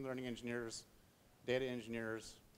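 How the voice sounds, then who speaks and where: A man speaks at a fairly quick pace and medium pitch. His intonation is monotone and flat. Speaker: technology speaker. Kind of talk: conference talk. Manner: fast.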